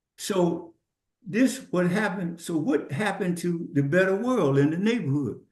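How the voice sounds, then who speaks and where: Here a man talks at a moderate pace in a high pitch with lively intonation. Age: 70s. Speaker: podcast guest. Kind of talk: casual chat. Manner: halting.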